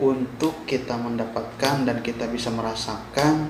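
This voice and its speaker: Very slow, monotone, flat delivery amid noticeable background noise and audible room echo. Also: man. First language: Sundanese (speaking Indonesian). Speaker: vlogger, migrant worker. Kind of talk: informational vlog. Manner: halting.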